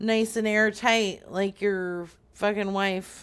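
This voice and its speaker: A woman speaks at a very slow pace. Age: 30s. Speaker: prank caller. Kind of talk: prank phone call.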